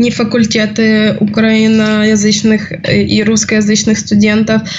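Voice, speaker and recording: A woman speaks at a fairly high pitch, with noticeable background noise and audible room echo in the recording. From Ukraine. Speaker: student. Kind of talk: casual chat.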